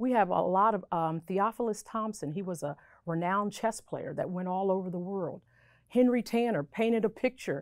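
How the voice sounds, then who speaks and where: With a plain, everyday voice, a woman of medium pitch speaks at a moderate pace with ordinary pitch variation. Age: 50s. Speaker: local historian. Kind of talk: panel discussion.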